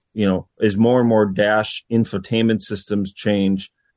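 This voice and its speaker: At a fairly slow pace, a man with an unremarkable speaking voice and a fairly low pitch is heard in a dry, close recording with no echo. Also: quiet background. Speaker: radio industry government affairs official. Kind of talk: interview.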